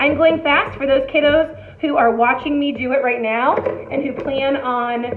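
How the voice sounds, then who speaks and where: Noticeable background noise and audible room echo surround a woman speaking fairly slowly at a high pitch. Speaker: elementary art teacher. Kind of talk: tutorial. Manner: animated.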